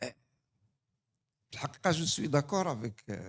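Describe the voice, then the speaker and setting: A man with a North African accent speaks in a somewhat breathy voice with very wide pitch swings. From Morocco. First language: Tamazight (speaking French). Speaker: human rights association representative. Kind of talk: audience question at conference. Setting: conference hall.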